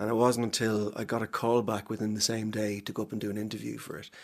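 Fairly quick, fairly low-pitched male speech with an Ulster accent. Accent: Ulster Irish (Cavan). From Ireland, Cavan town. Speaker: actor. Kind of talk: casual chat. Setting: studio.

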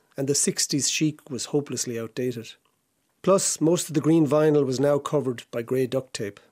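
On a very clean recording with a silent background, a man with a Tipperary accent and a dark, mellow tone speaks at a fairly quick pace with ordinary pitch variation. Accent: Irish (Tipperary). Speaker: essayist. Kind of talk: reading aloud.

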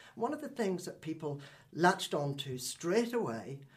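A man with a plain, everyday voice speaks at a moderate pace. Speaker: radio host. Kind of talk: interview. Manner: formal, measured.

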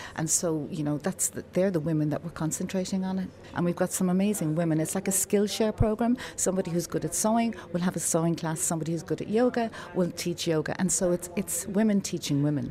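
Over noticeable background noise, someone with an Irish accent speaks at a very fast pace with hardly any pauses and ordinary pitch variation. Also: woman, fairly low pitch for a woman. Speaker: community group organiser. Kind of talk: casual interview.

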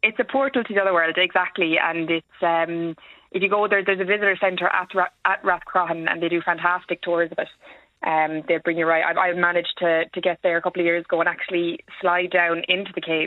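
A woman's fairly low voice in an Irish accent, at a very fast pace with fairly even intonation. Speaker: historian. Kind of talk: radio phone-in.

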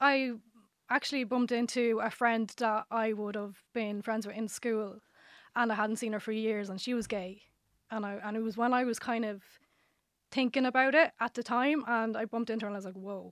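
A woman speaks with an Irish accent at fairly high pitch. Her pace is moderate and her intonation fairly even. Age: 30s. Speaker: dating show contestant. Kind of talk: casual chat. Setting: studio.

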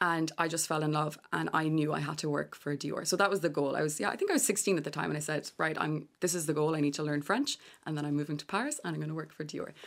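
Speaking very fast with a west of Ireland accent, a woman uses a very deep, low pitch and fairly even intonation on a very clean recording with a silent background. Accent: west of Ireland Irish. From Ireland, Galway. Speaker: fashion and digital executive. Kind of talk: radio interview. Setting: radio studio.

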